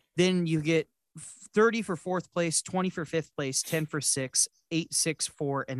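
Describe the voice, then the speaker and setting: A man talks at a fairly slow pace in an ordinary speaking voice, fairly high in pitch with ordinary pitch variation. The sound is dry and close with no echo. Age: 20s. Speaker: podcast host and motorsports announcer. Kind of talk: casual chat.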